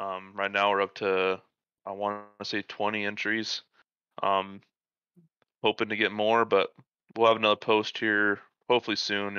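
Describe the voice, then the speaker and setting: The pace is fairly slow. Intonation stays monotone and flat. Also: man. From US Midwest, South Dakota. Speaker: sim racer. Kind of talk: casual chat.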